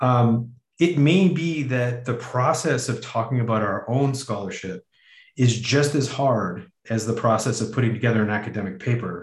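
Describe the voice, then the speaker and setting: Speaking with a Canadian accent, a man talks at a moderate pace in a somewhat breathy voice with ordinary pitch variation. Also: medium pitch for a man. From Canada. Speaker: podcast host and academic. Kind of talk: casual chat.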